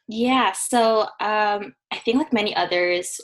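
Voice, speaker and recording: A plain, everyday voice at a moderate pace, with ordinary pitch variation over a quiet background. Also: woman. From British Columbia, Canada. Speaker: physiotherapy student. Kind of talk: casual chat.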